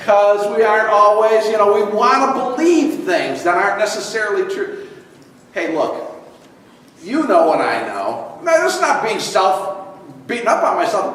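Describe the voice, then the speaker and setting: Through audible room echo and noticeable background noise, a man speaks at a moderate pace in a high pitch with very wide pitch swings. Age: 60s. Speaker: pastor. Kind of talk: sermon.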